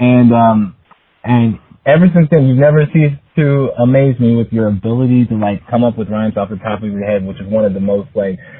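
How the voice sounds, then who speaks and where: A man with a plain, everyday voice talks at a medium pitch with ordinary pitch variation. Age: 30s. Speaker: friend of the host. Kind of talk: recorded voice message.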